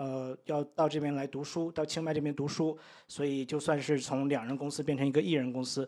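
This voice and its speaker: On a very clean recording with a silent background, a man talks at a fairly quick pace with a fairly high pitch. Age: 30s. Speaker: English-teaching content creator. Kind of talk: casual interview. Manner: hesitant, many fillers.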